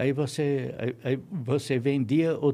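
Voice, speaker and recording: A man with a dark, mellow tone speaks at a fairly high pitch with fairly even intonation. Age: 70s. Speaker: retired electronics engineer. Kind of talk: interview. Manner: halting, with frequent repetitions.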